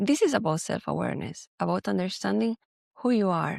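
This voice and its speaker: With a Spanish accent, a woman speaks at a fairly quick pace in a dry, close sound with no echo. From Spain. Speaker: podcast host and professional coach. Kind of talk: podcast monologue.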